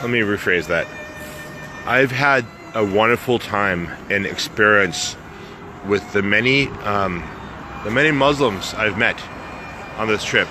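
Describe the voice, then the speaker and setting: With an American accent, a man talks at a fairly slow pace with ordinary pitch variation and long, frequent pauses, over noticeable background noise. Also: fairly low pitch for a man. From United States. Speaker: travel vlogger and motivational speaker. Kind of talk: casual vlog monologue. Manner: casual, hesitant with fillers.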